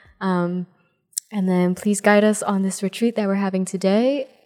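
Over music in the background, a woman talks at a medium pitch in a monotone, flat intonation. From New Jersey. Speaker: pre-K teacher. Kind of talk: casual chat. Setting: retreat.

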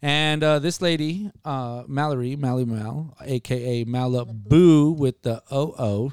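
This man talks at a fairly slow pace and medium pitch, with ordinary pitch variation and hardly any pauses. It is a very clean recording with a silent background. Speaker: podcast host. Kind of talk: casual chat. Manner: animated, slangy.

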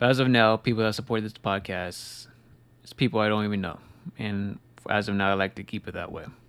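Recorded very cleanly against a silent background, a man with a fairly low pitch and an unremarkable speaking voice talks at a fairly quick pace. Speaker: podcast host. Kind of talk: pep talk. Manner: earnest, repetitive, motivating.

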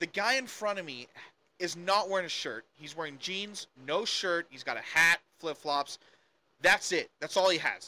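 At a moderate pace, a man with a high pitch and a bright, sharp tone speaks with ordinary pitch variation and big swings in loudness, the sound dry and close with no echo. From South Africa. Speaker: political commentator. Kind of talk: casual chat.

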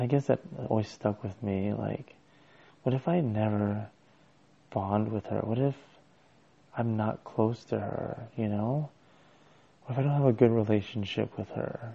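Quietly and with fairly even intonation, a man with a fairly low pitch speaks, pausing long and often. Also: fairly slow pace. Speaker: podcaster. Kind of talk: personal solo monologue. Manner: quiet, low-voiced.

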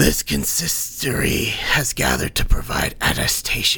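A man does a put-on character voice with very wide pitch swings. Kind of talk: ceremonial proclamation. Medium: read story.

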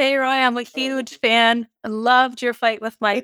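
A woman's ordinary speaking voice at a moderate pace, with fairly even intonation and a dry, close sound with no echo on a very clean recording with a silent background. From Canada. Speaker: boxer.

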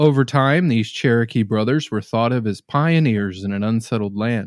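A man with an American accent, an unremarkable speaking voice, medium pitch and ordinary pitch variation, dry and close with no echo on a very clean recording with a silent background. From Norman, Oklahoma. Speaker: paranormal podcast host. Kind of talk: reading aloud.

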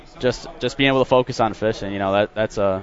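A very fast, fairly low-pitched man's voice in an American accent, with fairly even intonation and noticeable background noise. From Michigan, outside Detroit. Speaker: professional bass angler. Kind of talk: casual interview.

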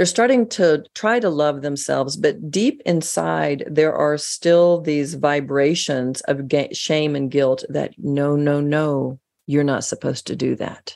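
On a very clean recording with a silent background, a woman with an American accent speaks at a fairly slow pace in a very deep, low pitch with ordinary pitch variation. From United States. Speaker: author and radio host.

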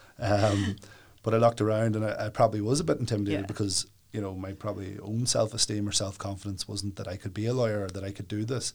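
In a Northern Irish accent, a somewhat breathy man with a fairly low pitch talks at a very fast pace in a monotone, flat intonation on a very clean recording with a silent background. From Northern Ireland, County Down (Warrenpoint). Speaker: solicitor. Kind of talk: interview.

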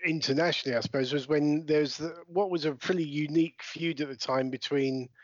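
With a British accent, a man talks at a fairly quick pace with hardly any pauses, his pitch fairly high and his intonation fairly even. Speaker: podcast host. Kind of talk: casual podcast interview. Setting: remote recording during lockdown.

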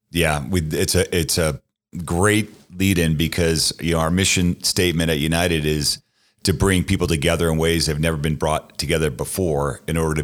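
A man with an American accent, very deep and low in pitch, with vocal fry and fairly even intonation, on a very clean recording with a silent background. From US Northeast, Boston. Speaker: sports team owner. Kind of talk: interview. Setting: studio.

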